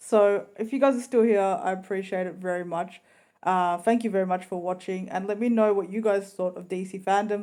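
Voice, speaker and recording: A woman at medium pitch talks fairly quickly in a dark, mellow tone with fairly even intonation, on a very clean recording with a silent background. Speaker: YouTuber reviewing trailers. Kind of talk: casual vlog review.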